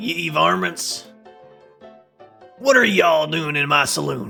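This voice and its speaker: A man's put-on character voice, raspy and fairly high, at a fairly slow pace with faint music in the background. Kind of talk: old western cowboy style. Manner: exaggerated, committed to character.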